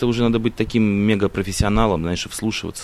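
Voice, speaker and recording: Talking at a very fast pace over noticeable background noise, a man has a medium pitch. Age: 20s. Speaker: radio host. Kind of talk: casual chat. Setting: open-air balcony.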